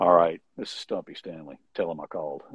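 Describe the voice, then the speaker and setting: Using a gravelly, put-on character voice, a man talks at a fairly quick pace. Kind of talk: brusque, terse.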